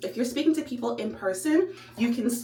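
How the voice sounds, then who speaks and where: A woman with a fairly high voice talks fairly quickly in an animated tone, her pitch swinging very widely. The recording has audible room echo and noticeable background noise. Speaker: vlogger. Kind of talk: vlog monologue. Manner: fast.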